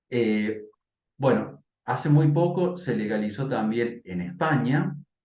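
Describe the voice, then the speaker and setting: Audible room echo surrounds a man's voice. He speaks at a medium pitch with lively intonation. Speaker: bioethicist. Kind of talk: interview and debate. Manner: hesitant, many fillers.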